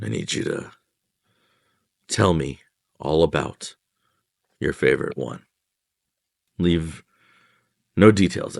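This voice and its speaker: A man does a put-on character voice that is raspy and wheezy at a very deep, low pitch, speaking fairly slowly with long, frequent pauses and big swings in loudness. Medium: actual play. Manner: earnest, tired.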